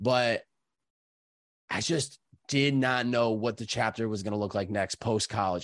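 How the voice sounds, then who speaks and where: Over a quiet background, a man with an unremarkable speaking voice talks at a medium pitch with fairly even intonation. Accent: American. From Massachusetts (Chicopee). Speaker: podcast host and content creator. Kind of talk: casual interview.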